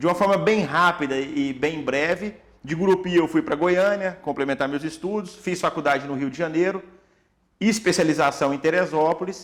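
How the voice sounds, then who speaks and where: High pitch for a man, with ordinary pitch variation and a moderate pace. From Tocantins, Brazil. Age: 30s. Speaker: orthopedic doctor. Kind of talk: podcast interview.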